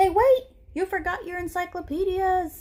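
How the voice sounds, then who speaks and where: Squeaky and put-on, this character voice moves at a moderate pace. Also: woman, extremely high pitch for a woman. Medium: read story. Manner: formal, polite, no contractions.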